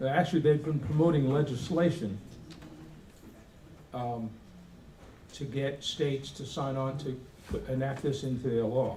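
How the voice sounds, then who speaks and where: With a dark, mellow tone and a somewhat breathy quality, a man speaks at a moderate pace amid audible room echo. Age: 70s. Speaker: Air Force veteran presenting a resolution. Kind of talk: convention speech. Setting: convention hall with audience. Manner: halting.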